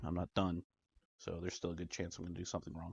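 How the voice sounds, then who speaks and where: A man whispers and mumbles in a somewhat breathy voice. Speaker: DIY tech hobbyist. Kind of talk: tutorial with self-talk. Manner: whispering, mumbling to self.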